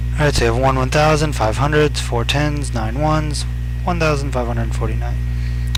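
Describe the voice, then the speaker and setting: This man's voice sits very deep and low, and he speaks at a very fast pace. Noticeable background noise runs under the recording. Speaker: math instructor. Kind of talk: educational lecture video. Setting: recorded screencast lecture. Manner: monotone, casual.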